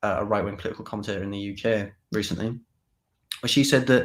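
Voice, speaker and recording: Speaking very fast with a Teesside accent, a man uses a fairly low pitch and ordinary pitch variation on a very clean recording with a silent background. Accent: northeast England (Teesside). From northeast England, Middlesbrough area. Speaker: political talk show host. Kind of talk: live political commentary show. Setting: live stream. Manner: casual, with frequent repetitions and fillers.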